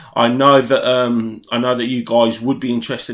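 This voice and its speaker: Against noticeable background noise, a man of medium pitch talks at a fairly quick pace in a monotone, flat intonation. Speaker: boxing YouTuber and podcaster. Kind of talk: solo commentary video. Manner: hesitant, many fillers.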